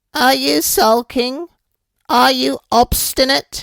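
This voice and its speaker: This put-on character voice sits at a fairly high pitch and moves at a very slow pace. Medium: read story. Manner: imperious, eerie.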